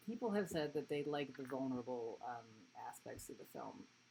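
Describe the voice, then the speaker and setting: Noticeable background noise sits under a woman with an American accent. She talks at a fairly quick pace with very wide pitch swings. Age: 40s. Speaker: adult film performer and filmmaker. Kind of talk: casual live stream talk. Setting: live online stream.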